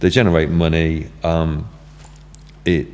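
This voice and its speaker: A man's very deep, low voice with vocal fry. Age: 60s. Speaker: music venue owner. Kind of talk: casual chat. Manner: halting, many fillers and restarts.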